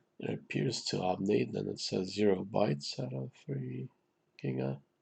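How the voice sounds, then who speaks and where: Vocal fry marks a man's very deep, low voice. He talks at a moderate pace with lively intonation. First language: Romanian. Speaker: gaming YouTuber. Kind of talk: gameplay commentary. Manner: casual, hesitant with many fillers.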